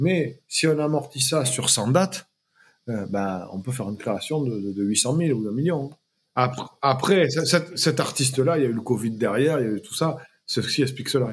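There is a somewhat breathy quality to this man's voice. He keeps a moderate tempo and his intonation is lively. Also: medium pitch for a man. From southwest France, small village. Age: 40s. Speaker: music concert producer. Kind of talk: interview. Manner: hesitant, many fillers and repetitions.

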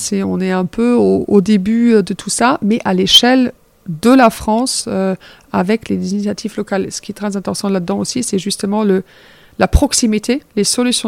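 A woman with a slight German accent at a medium pitch, moderate pace and fairly even intonation, in a dry, close sound with no echo. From Germany. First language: German (speaking French). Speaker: circular economy project director. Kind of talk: interview.

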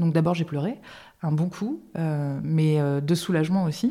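A woman with a fairly low, somewhat breathy voice and a dark, mellow tone speaks at a fairly slow pace with ordinary pitch variation. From Limousin, France. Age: 30s. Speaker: stroke and epilepsy patient, public relations worker. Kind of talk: interview testimony. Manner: hesitant, many fillers and restarts; lively, dynamic.

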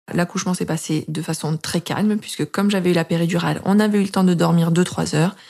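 On a very clean recording with a silent background, a woman with a fairly low pitch talks very fast with fairly even intonation. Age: 30s. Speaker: mother sharing breastfeeding story. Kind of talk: personal testimony.

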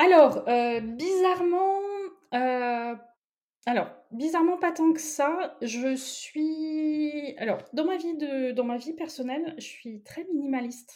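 A high-pitched woman's voice at a very slow pace, with ordinary pitch variation and big swings in loudness. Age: 30s. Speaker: tarot reader. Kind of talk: interview.

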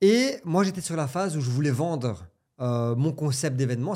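A man with a fairly high, somewhat breathy voice and a dark, mellow tone speaks at a moderate pace with lively intonation. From Belgium. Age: 30s. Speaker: entrepreneur. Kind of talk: casual chat.

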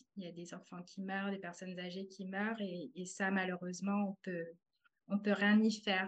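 A woman with a medium-pitched, somewhat breathy voice talks in a flat, monotone way. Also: moderate pace. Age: 30s. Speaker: translator turned artist. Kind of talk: testimony. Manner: halting.

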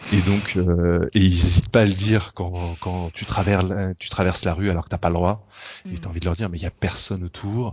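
A man's very deep, low, somewhat breathy voice, monotone and flat, at a fairly quick pace. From France. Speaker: engineer living abroad. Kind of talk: interview. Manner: halting.

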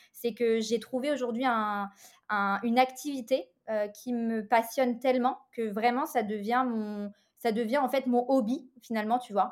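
On a very clean recording with a silent background, a woman talks in an unremarkable speaking voice at a fairly high pitch and fairly slow pace, her intonation fairly even. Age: 30s. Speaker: interior decorator and business mentor. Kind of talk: interview.

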